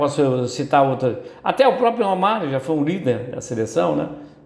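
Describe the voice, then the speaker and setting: Audible room echo surrounds a man who talks at a moderate pace with very wide pitch swings. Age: 70s. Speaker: football commentator. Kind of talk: opinion commentary monologue. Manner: hesitant, many repetitions and fillers.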